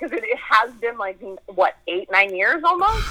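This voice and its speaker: Using very wide pitch swings, a woman with a western Canadian accent speaks at a moderate pace in a dry, close sound with no echo. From Edmonton, Alberta, Canada. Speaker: actor and producer. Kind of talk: casual interview chat.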